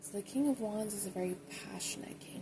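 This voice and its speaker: Soft-spoken, a woman talks with lively intonation. There is noticeable background noise. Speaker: tarot reader. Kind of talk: ASMR tarot reading.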